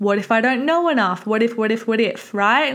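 With an Australian accent, a woman speaks at a fairly quick pace and a fairly high pitch. Her tone is animated. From Victoria, Australia. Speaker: podcast host, online fitness coach. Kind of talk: casual solo monologue. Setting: home office.

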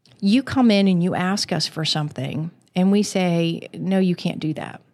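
A woman with an American accent speaks at a moderate pace, with medium pitch and ordinary pitch variation in an ordinary speaking voice. The recording is very clean, with a silent background. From Western Maryland (Garrett County). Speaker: county planning director. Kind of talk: interview.

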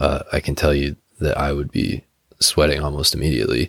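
A man with a very deep, low pitch and vocal fry talks at a fairly quick pace, the sound dry and close with no echo. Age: 20s. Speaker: podcast host. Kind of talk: casual solo commentary. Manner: informal, hesitant with fillers.

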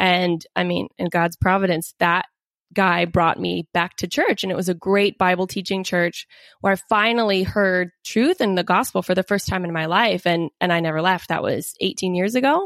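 Recorded very cleanly against a silent background, a woman uses a normal speaking voice at medium pitch, with fairly even intonation and a moderate pace. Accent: American. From US Pacific Northwest, Seattle area. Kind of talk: interview.

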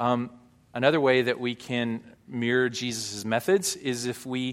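An unremarkable speaking voice with an American accent keeps its intonation fairly even. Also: man. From US South, Arkansas. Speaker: pastor. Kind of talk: sermon. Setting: church.

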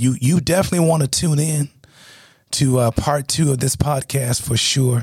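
A man's somewhat breathy voice with a dry, close sound and no echo. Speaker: co-host, doctor and former guest. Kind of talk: interview, asking questions.

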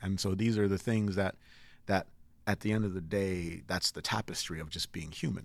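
A man with a very deep, low voice talks at a moderate speed, keeping his intonation fairly even. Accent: General American. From Nigeria, raised in Connecticut from age six. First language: Igbo. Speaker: musician. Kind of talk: interview.

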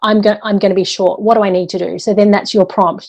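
Her voice has a dark, mellow tone at a medium pitch. The woman's intonation is monotone and flat. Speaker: bookkeeper and author. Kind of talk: interview conversation.

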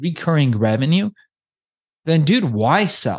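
Against a quiet background, a somewhat breathy man speaks at a fairly slow pace with very wide pitch swings. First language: not English. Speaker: podcast booking agency owner. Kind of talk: interview. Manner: casual.

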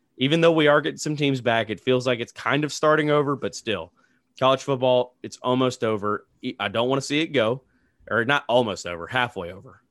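Speaking at a fairly quick pace, a man has an unremarkable speaking voice at medium pitch with ordinary pitch variation. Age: 40s. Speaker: sports podcast host. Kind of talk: casual sports chat. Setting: studio.

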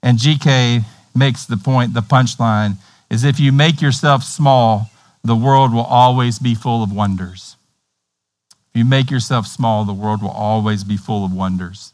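In a Tennessee accent, a man speaks at a fairly slow pace with a slightly mellow tone. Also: medium pitch for a man, ordinary pitch variation. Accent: Tennessee, American South.

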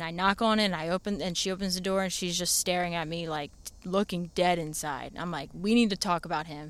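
Recorded very cleanly with a silent background, a woman with an ordinary speaking voice talks at a fairly low pitch and a fairly quick pace, with fairly even intonation and hardly any pauses. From Maryland, Anne Arundel County. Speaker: dog trainer, former teacher. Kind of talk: casual interview chat. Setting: podcast studio.

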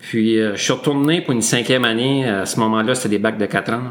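A man's fairly low voice, an unremarkable speaking voice. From northwestern New Brunswick, Canada (Saint-André, near Grand-Sault). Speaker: school district director. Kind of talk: interview.

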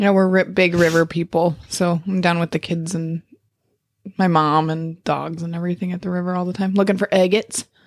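In an American accent, a woman speaks fairly quickly in a fairly low pitch with monotone, flat intonation. The sound is dry and close, with no echo. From Montana, Lincoln. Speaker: podcast co-host. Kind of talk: casual chat.

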